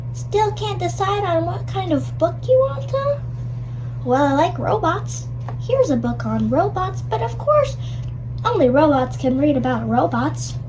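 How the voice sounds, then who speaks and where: Loud background noise surrounds a cartoonish character voice pitched low-to-middle. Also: moderate pace. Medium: puppet show. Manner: gruff, stubborn.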